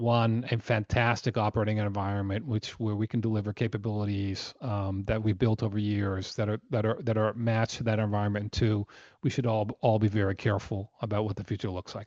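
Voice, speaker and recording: This voice has an American accent and a monotone, flat intonation at a fairly quick pace with hardly any pauses. The sound is dry and close with no echo, over a quiet background. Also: man, fairly low pitch for a man. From United States. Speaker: company chairman. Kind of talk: earnings call presentation. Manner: halting with many fillers.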